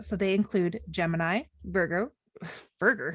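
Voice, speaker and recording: At a fairly slow pace, a woman speaks at a medium pitch with lively intonation and vocal fry. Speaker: podcast co-host. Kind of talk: casual chat. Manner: animated.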